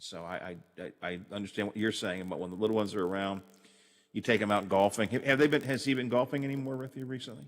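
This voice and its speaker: Against a quiet background, a man speaks at a very fast pace and a fairly low pitch. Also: ordinary pitch variation. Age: 60s. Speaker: radio show host. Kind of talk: casual chat. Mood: warm, chatty, reminiscing. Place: home room. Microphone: studio mic.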